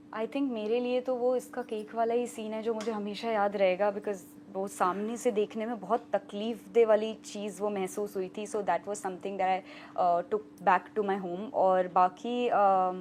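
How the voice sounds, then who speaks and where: A woman at medium pitch talks at a moderate pace with hardly any pauses and ordinary pitch variation. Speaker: radio host and actress. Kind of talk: interview.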